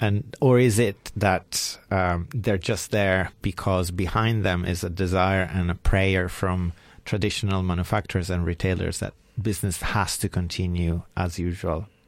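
A man speaks in an Italian accent with a very deep, low pitch and fairly even intonation. The recording is very clean, with a silent background. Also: moderate pace. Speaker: radio co-host, co-founder of a repair project. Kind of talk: radio talk show, casual chat. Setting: radio studio.

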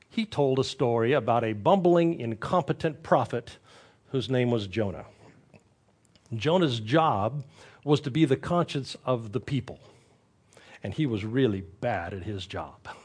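A man talks at a fairly slow pace with a somewhat breathy voice. Long, frequent pauses fall against a quiet background. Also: medium pitch for a man, lively intonation. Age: 60s. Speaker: pastor. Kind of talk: sermon.

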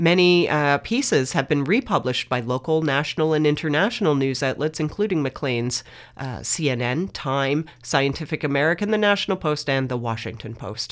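A woman with a Canadian accent and a very deep, low pitch, at a moderate pace with hardly any pauses, on a very clean recording with a silent background. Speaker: campus radio host. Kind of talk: reading aloud. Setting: radio studio. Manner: hesitant, many filler words.

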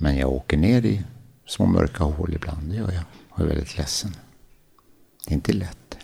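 A man talks with a very deep, low pitch and vocal fry. Long, frequent pauses break up his speech. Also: lively intonation, moderate pace. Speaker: paralympic athlete and adventurer. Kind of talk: interview, life story. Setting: at his home.

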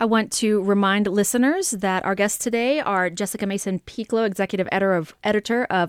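It's a woman with an unremarkable speaking voice, medium in pitch, talking at a fairly quick pace. Her intonation is fairly even, and the sound is dry and close with no echo. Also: very clean recording, silent background. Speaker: radio host. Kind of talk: panel discussion. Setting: studio.

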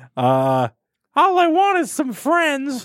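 A man uses a put-on character voice at an extremely high pitch. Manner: wistful, plaintive, gentle.

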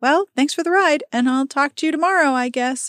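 This is a put-on character voice, squeaky and high in pitch. It moves at a fairly quick pace. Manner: awkward, nervous.

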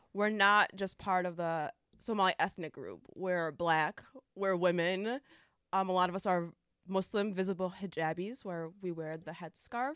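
A woman speaks in a normal speaking voice with an American accent, at medium pitch and a moderate pace with ordinary pitch variation. The recording is very clean, with a silent background. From upstate New York. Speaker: youth program coordinator. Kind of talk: casual interview.

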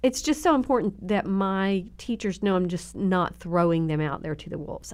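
A woman with a fairly low pitch speaks with a Southern US accent on a very clean recording with a silent background. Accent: Southern drawl, slight twang. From Southern Oklahoma. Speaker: children's ministry leader. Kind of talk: casual interview chat. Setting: podcast studio.

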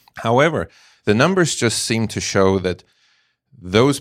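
A slight British accent comes through at a moderate pace, with lively intonation. The recording is very clean, against a silent background. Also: man. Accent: slight British Isles. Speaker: emergency physician. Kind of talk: expert interview.

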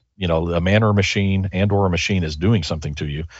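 Very deep, low male voice, somewhat breathy, with fairly even intonation and a fairly quick pace. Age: 50s. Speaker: business author. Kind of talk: interview.

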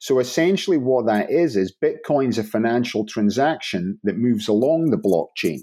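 A man's dark, mellow voice in a Scottish accent, very wide pitch swings, very even loudness and hardly any pauses, on a very clean recording with a silent background. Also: medium pitch for a man, moderate pace. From northern Scotland, Inverness. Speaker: blockchain startup founder. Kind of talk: interview.

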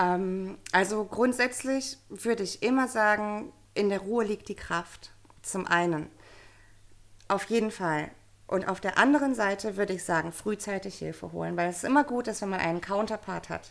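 A woman's normal speaking voice, medium in pitch, with ordinary pitch variation and a moderate pace, in a very clean recording with a silent background. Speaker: coach for mothers. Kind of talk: interview.

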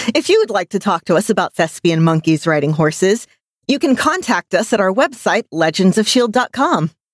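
Medium-pitched female voice with an American accent and very wide pitch swings. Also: moderate pace. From United States. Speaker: podcast co-host. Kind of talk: casual chat.

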